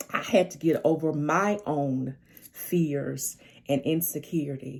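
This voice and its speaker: With a Southern accent, a woman speaks at a very slow pace in a very deep, low pitch with ordinary pitch variation. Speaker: life coach. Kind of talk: casual livestream monologue. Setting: social media live video.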